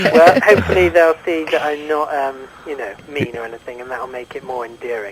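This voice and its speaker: A man with a British accent and fairly high pitch talks at a fairly quick pace with lively intonation over noticeable background noise. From England. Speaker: YouTube comedy filmmaker interviewed on radio. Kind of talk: radio phone interview. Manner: halting, many fillers and restarts.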